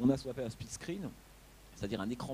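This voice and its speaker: A man's dark, mellow tone comes across somewhat breathy, with lively intonation. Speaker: film critic. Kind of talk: lecture. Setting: auditorium after a screening with audience. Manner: halting, many repetitions and fillers.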